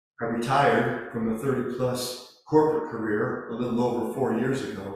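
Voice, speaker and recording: The man's voice sits at a medium pitch. Room echo is audible. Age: 60s. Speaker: Zen priest giving a Dharma talk. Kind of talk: Dharma talk.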